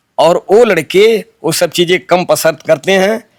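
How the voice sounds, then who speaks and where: The man's voice sits high in pitch, with ordinary pitch variation and a dry, close sound with no echo. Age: 70s. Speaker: folk singer and poet. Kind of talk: interview.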